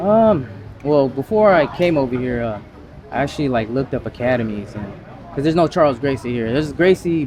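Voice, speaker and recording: Over noticeable background noise, a man with an American accent talks at a fairly quick pace, his medium pitch carried by lively intonation. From US mainland. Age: 40s. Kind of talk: casual interview. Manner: hesitant, many fillers.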